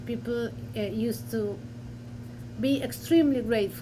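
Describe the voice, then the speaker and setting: A woman with a Spanish accent at a fairly slow pace, amid audible room echo. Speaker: historian. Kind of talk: academic panel discussion. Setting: university lecture with audience and Zoom. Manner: halting.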